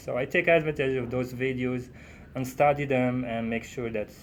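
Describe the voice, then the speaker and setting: This man speaks with a non-native accent. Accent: foreign. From Morocco. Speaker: trucking student driver. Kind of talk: casual interview chat. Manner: halting, many fillers.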